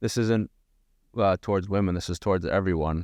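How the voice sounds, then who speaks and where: A man with a fairly low voice is heard in a dry, close sound with no echo. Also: quiet background. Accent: Long Island. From Long Island, New York. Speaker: gym owner and podcast co-host. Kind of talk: casual chat.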